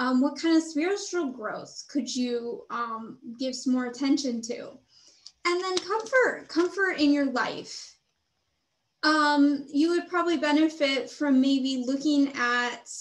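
Speaking very slowly, a woman uses a high pitch. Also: ordinary pitch variation. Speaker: tarot reader. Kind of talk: tarot reading commentary. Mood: calm, gentle, reflective. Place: home room.

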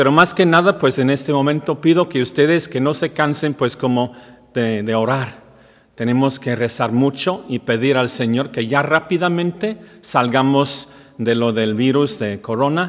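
Over a quiet background, a man talks at a fairly slow pace in a fairly high pitch with ordinary pitch variation. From Wales. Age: 50s. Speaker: priest. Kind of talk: welcome message; welcome address to parishioners. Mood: warm, calm, earnest. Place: church.

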